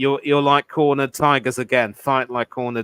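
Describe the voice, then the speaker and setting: With an English accent, a man speaks at a fairly quick pace in a bright, sharp tone with fairly even intonation, in a dry, close sound with no echo. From England. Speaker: cricket pundit. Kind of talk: casual chat.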